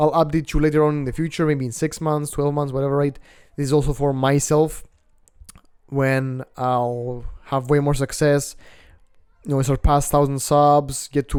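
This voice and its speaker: A man's fairly high voice at a moderate pace, with long, frequent pauses. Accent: Greek. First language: Greek. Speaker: self-improvement vlogger. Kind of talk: casual vlog monologue. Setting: outdoors on apartment balcony. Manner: casual, filler-heavy, swearing.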